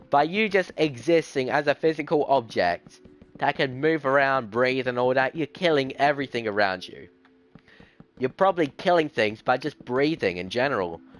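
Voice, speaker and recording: With an Australian accent and lively intonation, a man speaks in a dry, close sound with no echo. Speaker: gaming streamer. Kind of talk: live stream chat while gaming. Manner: fast; halting, with restarts.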